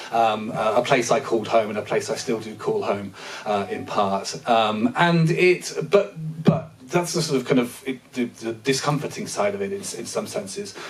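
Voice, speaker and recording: Over noticeable background noise, a man with a British accent and medium pitch talks at a moderate pace with very wide pitch swings. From Britain. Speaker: linguistics professor. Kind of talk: panel discussion. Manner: halting, many fillers.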